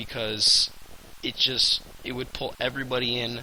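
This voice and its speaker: Someone talks at a fairly slow pace over noticeable background noise. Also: man. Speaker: gaming youtuber. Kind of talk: casual video commentary. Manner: hesitant, many fillers.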